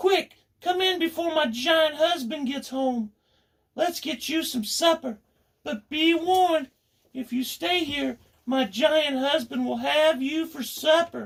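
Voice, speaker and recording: This is a put-on character voice with a high pitch. It moves at a fairly slow pace. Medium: read story.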